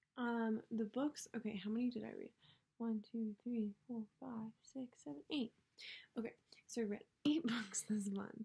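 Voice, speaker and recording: Quiet and somewhat breathy, a woman speaks at a fairly slow pace in a fairly high pitch with a dark, mellow tone. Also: ordinary pitch variation. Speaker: book vlogger. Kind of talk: casual monologue. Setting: at home, others in the house. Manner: filler-heavy. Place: home room. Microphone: may be too quiet; webcam.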